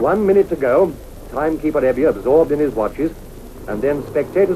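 Over noticeable background noise, a man talks at a fairly quick pace in an upbeat, animated tone with lively intonation. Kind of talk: 1950s newsreel race commentary. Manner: brisk, clipped, animated commentary; crisp, formal, upbeat period narrator.

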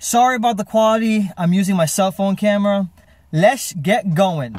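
A man talks at a moderate pace with a high pitch. The sound is dry, with no echo. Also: ordinary pitch variation. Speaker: vlogger. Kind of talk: casual vlog chat. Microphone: phone near.

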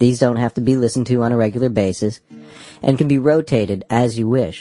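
A man talks at a very fast pace with medium pitch and fairly even intonation. Music plays in the background. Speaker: hypnosis guide. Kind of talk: hypnosis guided meditation, audiobook narration. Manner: instructional, calm.

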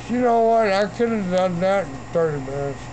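Fairly quick speech over light background noise. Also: man, high pitch for a man. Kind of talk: rambling self-recorded monologue. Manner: drowsy slurred drunken talk. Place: garden. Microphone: phone near.

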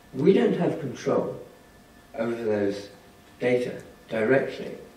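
Audible room echo colors this man's voice. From England. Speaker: statistics professor. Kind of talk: lecture. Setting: stage with audience. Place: hall.

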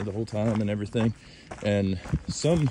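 Noticeable background noise sits under a man's fairly low voice, which has a dry sound with no echo, ordinary pitch variation and a moderate pace. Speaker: trail runner vlogger. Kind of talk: casual vlog chat. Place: open country. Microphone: phone near.

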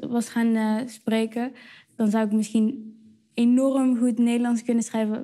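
Over a quiet background, a woman speaks at a moderate pace with a fairly high pitch. Her intonation is monotone and flat, and her tone is dark and mellow. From Netherlands. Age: 20s. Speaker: slam poet. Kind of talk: interview answer. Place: cafe. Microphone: lapel.

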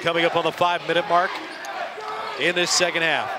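Over noticeable background noise, a man uses a raised, projected voice in an animated tone. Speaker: sports commentator. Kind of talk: live play-by-play basketball commentary. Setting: broadcasting a college game from the arena. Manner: animated, with a shouted 'it's good!' on big threes.

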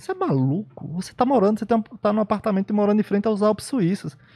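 A dark, mellow tone at a very fast pace against a quiet background. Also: man. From Brazil, Bahia backcountry (sertão). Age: 30s. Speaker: immunologist; podcast guest. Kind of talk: casual interview. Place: studio. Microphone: studio mic.

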